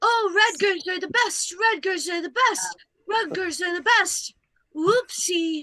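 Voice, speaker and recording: A woman uses a put-on character voice at an extremely high pitch and a fairly slow pace. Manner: mocking, drunkenly laughing.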